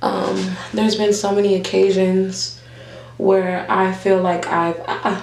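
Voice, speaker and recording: Speaking at a very slow pace, a woman is heard with audible room echo and noticeable background noise. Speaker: vlogger and nurse. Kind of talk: casual chat.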